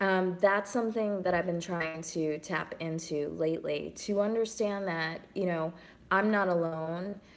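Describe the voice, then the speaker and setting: Fairly low in pitch, a woman with an unremarkable speaking voice talks at a fairly slow pace with fairly even intonation. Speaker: singer-songwriter. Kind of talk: casual live stream chat.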